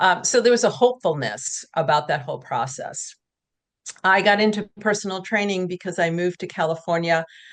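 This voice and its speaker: A woman with an American accent speaks at a medium pitch and a fairly quick pace, with ordinary pitch variation against a quiet background. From New England, US. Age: 60s. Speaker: author and fitness trainer. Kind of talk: podcast interview. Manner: hesitant, with frequent fillers.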